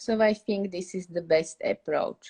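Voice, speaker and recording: The speaker is a woman going fairly slowly. Her intonation is kept fairly even. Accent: Slovak. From Slovakia. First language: Slovak. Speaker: English teacher. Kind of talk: live stream Q&A. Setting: live stream on social media.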